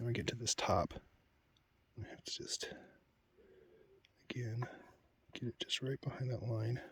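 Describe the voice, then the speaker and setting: Soft-spoken and somewhat breathy, a man talks at a moderate pace with medium pitch, monotone, flat intonation and long, frequent pauses, in a dry, close sound with no echo. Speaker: woodcarver. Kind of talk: tutorial. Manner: casual.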